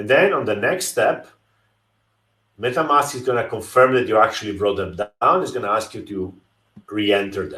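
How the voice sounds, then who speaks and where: There is audible room echo as a man speaks against a quiet background. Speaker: livestream host teaching crypto wallets. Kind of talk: tutorial. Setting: live stream with screen share. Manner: slow, deliberate; hesitant, repeats words. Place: home room.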